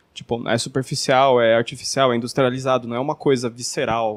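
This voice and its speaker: A man's flat, monotone voice in a dry, close recording with no echo. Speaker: religious podcast host. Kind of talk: casual chat. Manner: fast.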